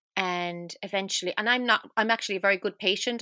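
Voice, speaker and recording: A woman with an Irish accent speaks very fast at a medium pitch, her tone bright and sharp with fairly even intonation. The sound is dry and close with no echo, and the recording is very clean over a silent background. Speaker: singer and near-death survivor. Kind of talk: casual chat.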